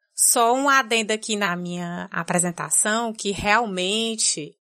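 A woman with a bright, sharp tone speaks at medium pitch with lively intonation. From Brazil, Fortaleza, Ceará. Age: 30s. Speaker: podcast editor and producer. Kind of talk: casual interview conversation. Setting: video call.

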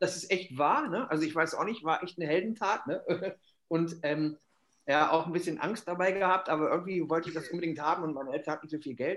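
At a fairly quick pace, a man with high pitch speaks with ordinary pitch variation. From Germany, Hannover. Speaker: football casual culture expert. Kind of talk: casual chat. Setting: remote call.

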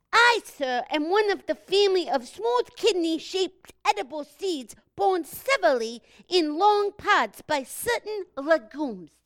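Pitched extremely high, this put-on character voice moves along at a moderate pace. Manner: pompous, verbose, formal.

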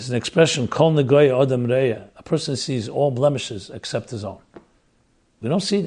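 Loudness swings widely as a man speaks at a fairly quick pace. His medium-pitched voice is somewhat breathy, with ordinary pitch variation. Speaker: rabbi and lecturer. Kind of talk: lecture.

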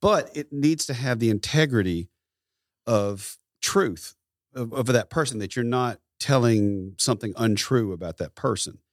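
A man with a Southern US accent speaks at a fairly slow pace and medium pitch, with lively intonation. The recording is very clean, with a silent background and a dry, close sound with no echo. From US South, rural Tennessee. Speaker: photographer and musician. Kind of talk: interview.

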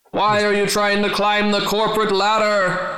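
In a put-on character voice, a man talks at a moderate pace with a high pitch and monotone, flat intonation, and there is a slight echo. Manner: hissing.

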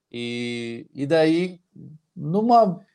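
This is a man speaking. His intonation is lively. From Paraná, Brazil. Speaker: flight attendant. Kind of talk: casual interview. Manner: energetic.

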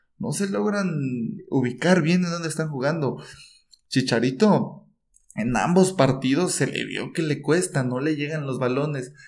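Audible room echo surrounds a man who speaks at a fairly slow pace and fairly high pitch with ordinary pitch variation. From Mexico, Chiapas. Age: 20s. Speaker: podcast co-host, football commentator. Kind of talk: casual football chat.

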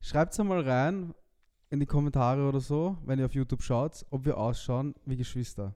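The man's voice has a dark, mellow tone and moves at a moderate pace. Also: ordinary pitch variation. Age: 20s. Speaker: podcast co-host. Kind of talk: casual chat.

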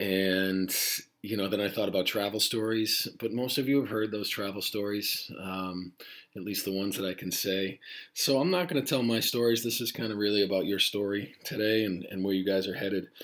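Speaking at a fairly quick pace, a man has a fairly low pitch. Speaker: high school Spanish teacher. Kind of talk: podcast monologue to students. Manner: rambling, casual.

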